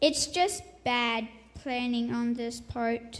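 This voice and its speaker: A female-sounding put-on character voice speaks at a high pitch. The pace is very slow. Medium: stage play.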